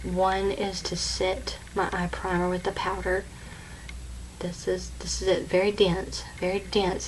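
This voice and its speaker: A woman talks fairly slowly, and echo from the room is audible. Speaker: beauty vlogger. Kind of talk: tutorial. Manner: halting.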